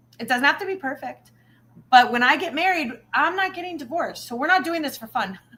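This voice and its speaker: Raising and projecting her voice, a woman speaks at a very fast pace with a high pitch, lively intonation and big swings in loudness. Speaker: spirituality livestream co-host. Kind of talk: casual chat. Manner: animated.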